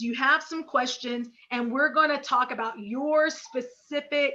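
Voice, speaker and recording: Raised and projected, a woman's high-pitched voice carries a bright, sharp tone with an American accent. She speaks at a fairly slow pace. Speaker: business coach. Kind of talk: webinar presentation. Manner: energetic.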